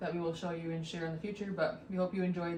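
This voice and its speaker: Over noticeable background noise and audible room echo, a woman talks. Her fairly low voice stays monotone, with flat intonation. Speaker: home renovation vlogger. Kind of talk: casual chat.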